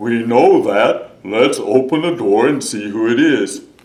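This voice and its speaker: Someone puts on a character voice and talks fairly slowly. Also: man. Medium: read story.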